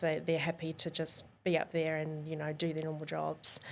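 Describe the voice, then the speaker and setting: A woman with a New Zealand accent, fairly low in pitch, at a moderate pace. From New Zealand, Whangarei. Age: 20s. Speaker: professional dancer. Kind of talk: casual interview chat.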